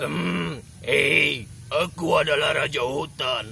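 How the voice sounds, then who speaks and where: Speaking very slowly, a man puts on a character voice against clear background noise. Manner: proud, growling.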